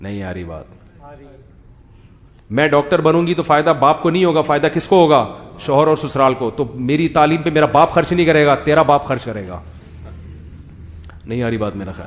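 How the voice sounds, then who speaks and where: A man with an unremarkable speaking voice, fairly high pitch, lively intonation and big swings in loudness. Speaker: Islamic scholar giving a sermon. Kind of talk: religious lecture with humorous commentary.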